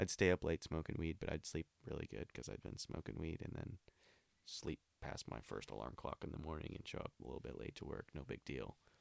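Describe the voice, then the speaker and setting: With an American accent, a man speaks at a fairly quick pace with lively intonation, a very deep, low pitch and vocal fry, the sound dry and close with no echo. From Olympia, Washington, US Pacific Northwest. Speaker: person in addiction recovery. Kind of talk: casual interview, personal testimony.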